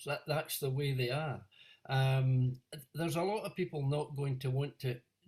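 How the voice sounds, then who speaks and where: A man with a fairly high pitch speaks at a moderate pace, sounding somewhat breathy. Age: 70s. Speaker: audience member asking question. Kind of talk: audience question.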